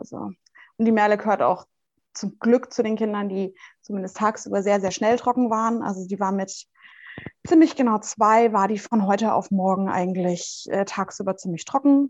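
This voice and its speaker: A plain, everyday voice from a woman, moderately paced, its pitch varying in an ordinary way. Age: 20s. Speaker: mother of two, interview guest. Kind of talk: casual interview.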